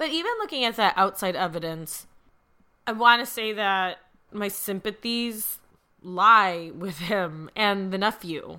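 A woman's medium-pitched voice with a bright, sharp tone and an American accent, at a fairly slow pace with ordinary pitch variation. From US Midwest. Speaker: podcast host and lawyer. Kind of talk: casual chat.

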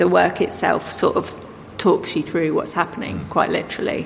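Delivery is very fast. Background noise can be clearly heard. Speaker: filmmaker and artist. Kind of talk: casual interview chat.

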